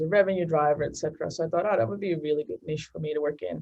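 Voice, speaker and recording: A woman speaks with a Dutch accent at a fairly low pitch. Her pitch varies in an ordinary way. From Netherlands, Amsterdam. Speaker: marketing executive. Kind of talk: interview. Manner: hesitant, many fillers.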